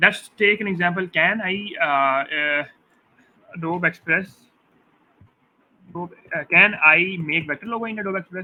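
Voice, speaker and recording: Pausing long and often, a man with a high pitch talks at a moderate pace, his loudness swinging widely while his pitch varies in an ordinary way. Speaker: graphic design tutor. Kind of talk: tutorial. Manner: halting, many fillers.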